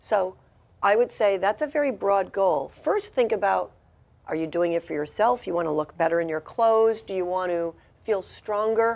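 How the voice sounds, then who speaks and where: A woman's normal speaking voice at medium pitch, with lively intonation and a moderate pace, in a quiet background. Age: 60s. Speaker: ballroom dancer and spiritual director. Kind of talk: TV interview. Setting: TV studio.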